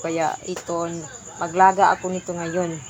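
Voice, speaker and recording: A woman speaks at a fairly slow pace with a fairly low pitch. Noticeable background noise runs behind her. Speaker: vlogger. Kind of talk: casual vlog. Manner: halting, many fillers.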